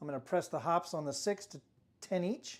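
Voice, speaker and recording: Mumbling at a fairly slow pace, a man speaks with a high pitch. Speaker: craps dice-rolling streamer. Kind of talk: live stream commentary while playing craps. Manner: soft-spoken; tends to mumble.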